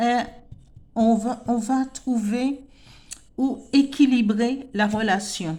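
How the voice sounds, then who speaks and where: In a French Antillean accent, a woman speaks very slowly at a high pitch with a dark, mellow tone. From French Antilles. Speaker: tarot card reader. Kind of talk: spiritual tarot reading. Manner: halting, many repetitions and fillers.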